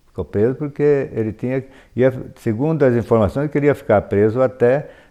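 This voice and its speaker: The voice has a dark, mellow tone, a fairly slow pace and ordinary pitch variation. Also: man. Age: 70s. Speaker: local elder interviewee. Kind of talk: oral history interview.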